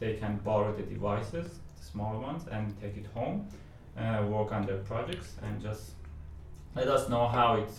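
In a room with audible echo and noticeable background noise, a man talks. His pitch is fairly low and his pace fairly slow. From Iran. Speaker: technical evangelist. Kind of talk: podcast interview.

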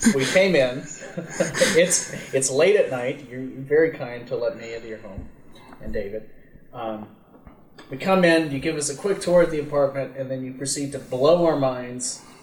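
With audible room echo and noticeable background noise, a man speaks at a fairly high pitch and moderate pace, showing ordinary pitch variation, big swings in loudness, and long, frequent pauses. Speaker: podcast host. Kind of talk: casual interview. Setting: guest's home. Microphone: problematic microphone.

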